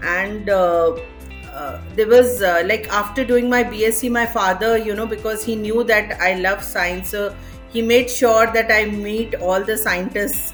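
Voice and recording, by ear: Fairly slow speech with fairly even intonation over faint background music. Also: woman, medium pitch for a woman.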